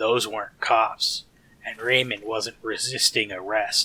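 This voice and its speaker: A man uses a raspy put-on character voice at a medium pitch, speaking at a fairly slow pace with monotone, flat intonation. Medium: solo performance.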